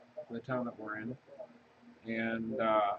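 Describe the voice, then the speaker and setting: A soft-spoken man mumbles at a fairly slow pace. Noticeable background noise sits behind him. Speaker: crafting video creator. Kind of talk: casual crafting tutorial chat. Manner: mumbling, soft-spoken.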